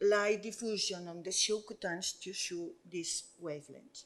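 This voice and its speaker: With a Spanish accent, this voice rises and falls in an ordinary way. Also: woman. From Spain. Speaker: doctor. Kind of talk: conference presentation. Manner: halting.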